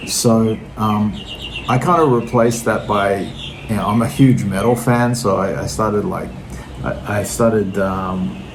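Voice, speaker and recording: A man with an Australian accent, fairly low pitch and lively intonation at a fairly slow pace, with audible room echo and noticeable background noise. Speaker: vinyl record collector vlogger. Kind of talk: casual monologue to camera. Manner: hesitant, many fillers.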